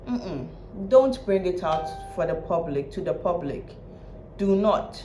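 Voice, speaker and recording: The speech moves at a fairly slow pace, with music playing in the background. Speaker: commentary vlogger. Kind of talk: reaction video commentary. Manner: loud; casual, repetitive.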